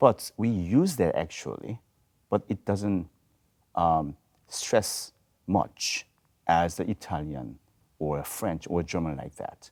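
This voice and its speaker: Lively intonation and vocal fry in a Korean accent at a very slow pace, with long, frequent pauses, in a dry, close sound with no echo and a very clean recording with a silent background. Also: man, very deep, low pitch for a man. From South Korea. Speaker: voice professor. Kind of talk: panel discussion. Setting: video studio.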